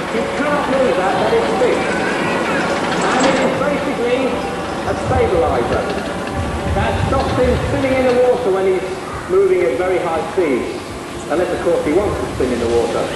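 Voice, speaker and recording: The speech moves at a moderate pace with long, frequent pauses. Audible room echo and loud background noise surround it. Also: man. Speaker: animal trainer presenting a show. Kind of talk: educational show commentary.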